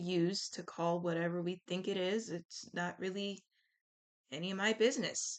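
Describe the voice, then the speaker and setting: A woman speaks at a medium pitch with ordinary pitch variation. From US, military family (Army brat). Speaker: vlogger. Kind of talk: casual vlog monologue. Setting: recording at laptop. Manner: loud; casual, filler-heavy. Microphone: laptop.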